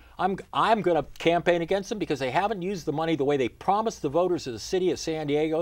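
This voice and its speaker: Speaking very fast with hardly any pauses, a man uses a high voice for a man and ordinary pitch variation. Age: 70s. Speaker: mayoral candidate. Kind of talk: interview. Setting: studio.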